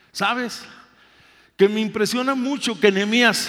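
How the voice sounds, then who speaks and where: Here a man with a high pitch speaks with ordinary pitch variation. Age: 60s. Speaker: pastor. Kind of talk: sermon.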